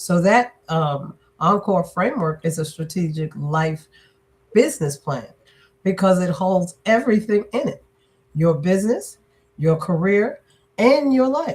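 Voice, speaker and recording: In a very clean recording with a silent background, a woman speaks at medium pitch, somewhat breathy. Her pitch swings very widely, broken by long, frequent pauses. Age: 60s. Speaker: business and leadership strategist, author. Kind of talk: interview.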